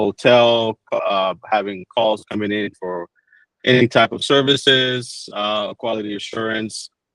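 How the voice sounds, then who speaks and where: A man's medium-pitched voice in a strong Dominican accent, with ordinary pitch variation. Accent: thick Dominican. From Dominican Republic. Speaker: PBX support engineer. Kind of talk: webinar tutorial. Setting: online webinar.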